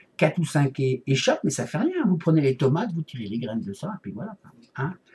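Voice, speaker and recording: Fairly quick speech from a man, fairly high-pitched, with very wide pitch swings. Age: 40s. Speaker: vlogger. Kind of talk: casual video blog. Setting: home office. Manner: mumbled, hesitant.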